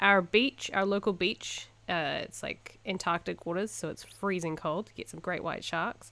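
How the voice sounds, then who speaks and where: In a New Zealand accent, a woman speaks at medium pitch with a bright, sharp tone, vocal fry, and ordinary pitch variation. Her loudness swings widely, and she hardly pauses at all. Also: moderate pace. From New Zealand, Invercargill. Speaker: podcast co-host. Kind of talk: casual chat.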